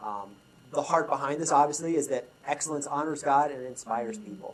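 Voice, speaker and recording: Moving at a fairly quick clip, a man with a fairly high pitch shows ordinary pitch variation and big swings in loudness. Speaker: leadership consultant. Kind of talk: conference talk. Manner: fast.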